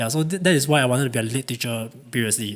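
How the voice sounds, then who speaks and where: A man with a Mandarin accent, medium pitch and ordinary pitch variation. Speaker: assistant film producer. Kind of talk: casual interview.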